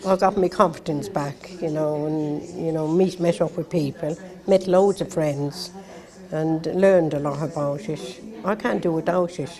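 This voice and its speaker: A woman speaks in an Irish accent at a fairly slow pace. There is noticeable background noise. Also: fairly low pitch for a woman, fairly even intonation. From Ireland. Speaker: care-home survivor. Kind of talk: TV interview testimony.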